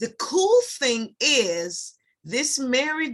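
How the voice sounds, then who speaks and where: Her voice is high in pitch, with a Jamaican accent. The woman speaks at a very slow pace. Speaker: beauty products sales rep. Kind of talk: tutorial. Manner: hesitant, many fillers.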